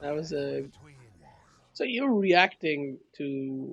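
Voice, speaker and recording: A somewhat breathy man with a fairly high pitch and ordinary pitch variation, against a quiet background. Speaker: video game coach. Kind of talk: replay analysis coaching session. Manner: casual, conversational.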